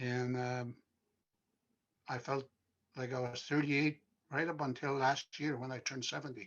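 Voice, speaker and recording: A man at a medium pitch in a flat monotone, with long, frequent pauses. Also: moderate pace. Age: 70s. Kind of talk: panel discussion.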